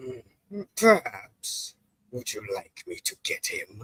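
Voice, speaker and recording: A man speaks at a fairly slow pace in a raspy, put-on character voice. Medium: game stream. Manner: formal, smug.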